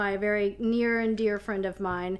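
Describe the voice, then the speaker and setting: Speaking fairly slowly with an American accent, a woman has a bright, sharp tone and fairly even intonation. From US South, North Carolina (Currituck). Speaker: political vlogger. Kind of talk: casual chat. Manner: chatty, many fillers.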